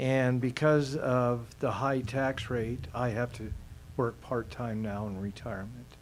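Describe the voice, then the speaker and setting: Audible room echo surrounds a man speaking at a fairly slow pace. His pitch is medium and his intonation fairly even. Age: 60s. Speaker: resident giving public comment. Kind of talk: public comment at council meeting. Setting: city council meeting. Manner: halting, many fillers and restarts.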